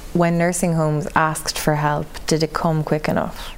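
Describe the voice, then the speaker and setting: A woman with an Irish accent speaks in a very deep, low pitch and a monotone, flat intonation over noticeable background noise. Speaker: news reporter. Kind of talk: interview.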